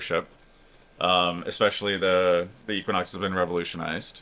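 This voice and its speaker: Mumbling at a fairly quick pace, a man speaks in a bright, sharp tone. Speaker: cruise vlogger. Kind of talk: casual chat.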